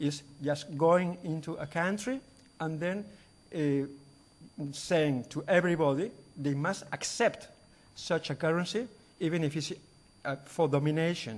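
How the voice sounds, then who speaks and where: This man has a fairly high voice with ordinary pitch variation and a Spanish accent. He talks at a fairly slow pace, leaving long, frequent pauses. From Spain. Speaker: conference speaker. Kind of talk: lecture. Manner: halting.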